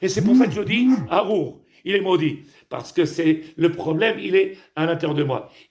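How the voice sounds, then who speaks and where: This man talks at a moderate pace in a high-pitched voice. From Tunisia. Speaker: rabbi. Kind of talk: sermon. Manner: halting, repetitive.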